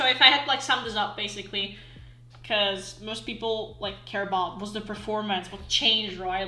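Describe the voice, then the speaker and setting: A woman talks at a moderate pace in a fairly high pitch, with noticeable background noise present. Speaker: online game player. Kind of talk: casual gaming commentary.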